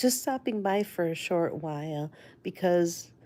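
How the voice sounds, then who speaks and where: In a Spanish accent, the speaker uses a dark, mellow tone and lively intonation at a very slow pace, on a very clean recording with a silent background. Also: woman. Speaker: livestreamer sharing life story. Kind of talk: casual livestream storytelling. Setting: live stream with chat. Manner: halting, many fillers.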